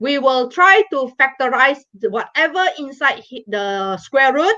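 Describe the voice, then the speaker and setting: Speaking at a fairly slow pace, a woman uses a raised, projected voice with a high pitch. Her pitch swings very widely. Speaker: maths teacher. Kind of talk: live online lesson.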